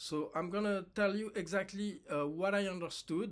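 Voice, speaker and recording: A man talks fairly slowly, his pitch moving with ordinary variation. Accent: French. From France. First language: French. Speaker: actor. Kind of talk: personal monologue to camera. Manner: halting, many fillers.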